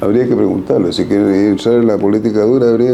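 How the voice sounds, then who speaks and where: With audible room echo and noticeable background noise, a man at medium pitch talks very fast in a fairly even intonation. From Chile, Antofagasta. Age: 80s+. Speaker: photographer and former political activist. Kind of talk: interview testimony. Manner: emphatic.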